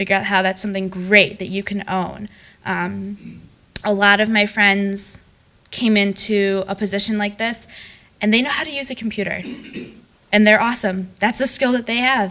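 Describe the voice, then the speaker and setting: With long, frequent pauses, a woman speaks at a medium pitch in a bright, sharp tone and fairly even intonation. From US Midwest, Madison, Wisconsin. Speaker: alumna speaker, engineer. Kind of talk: lecture. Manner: fast.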